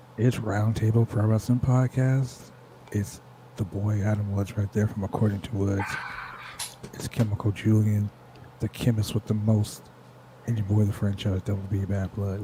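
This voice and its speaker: At a moderate pace, a man speaks with a fairly low pitch and monotone, flat intonation. His long, frequent pauses sit against noticeable background noise. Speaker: wrestling podcast host. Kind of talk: casual, hype.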